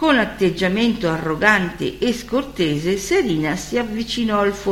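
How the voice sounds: A natural reading voice is used throughout.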